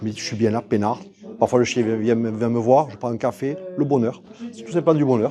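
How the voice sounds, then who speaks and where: A man speaks at a medium pitch with lively intonation over noticeable background noise. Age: 60s. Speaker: sculptor. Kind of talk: casual interview. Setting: art exhibition venue. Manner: halting, many fillers and repetitions.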